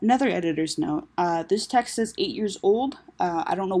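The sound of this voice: Here is an unforced reading voice. Its intonation is lively.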